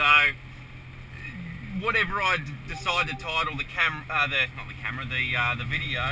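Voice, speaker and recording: With an Australian accent and an amused tone, a man speaks at a moderate pace in a fairly high pitch with lively intonation over noticeable background noise. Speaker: truck driver. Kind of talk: casual talk to camera. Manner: amused, swearing.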